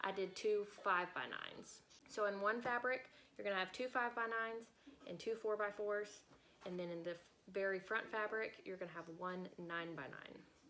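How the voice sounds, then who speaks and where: A woman speaks at a fairly quick pace in a plain, everyday voice, medium in pitch with ordinary pitch variation. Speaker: sewing and embroidery YouTuber. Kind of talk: tutorial.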